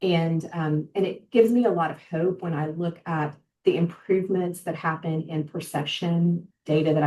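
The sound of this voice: Fairly even intonation runs through a dark, mellow tone. The pace is moderate. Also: woman.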